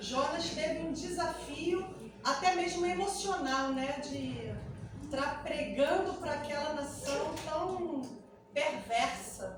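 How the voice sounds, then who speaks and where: Room echo is audible as a woman speaks at a very slow pace. Her voice is high, with ordinary pitch variation. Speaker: pastor. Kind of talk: sermon.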